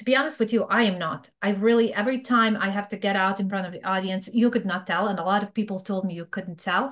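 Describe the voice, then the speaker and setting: Speaking very fast with hardly any pauses, a woman with a Serbian accent holds a medium pitch and ordinary pitch variation. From Bosnia. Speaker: fraud prevention expert. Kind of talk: interview.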